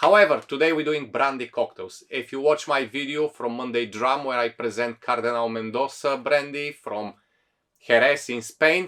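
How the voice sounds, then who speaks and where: A man with a Bulgarian accent, fairly high pitch, bright and sharp tone, ordinary pitch variation and moderate pace. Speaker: bartender, cocktail video host. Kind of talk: tutorial.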